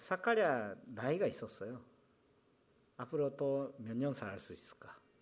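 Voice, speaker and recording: A man with a Japanese accent at a fairly high pitch, fairly slow pace, very wide pitch swings, big swings in loudness and long, frequent pauses. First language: Japanese (speaking Korean). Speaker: pastor. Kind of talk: sermon. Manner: halting.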